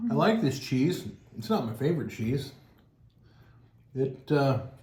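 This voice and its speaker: A man talks at a fairly slow pace and a medium pitch, his voice somewhat breathy. Room echo is audible around him. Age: 40s. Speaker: cheese tasting channel host. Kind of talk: casual chat.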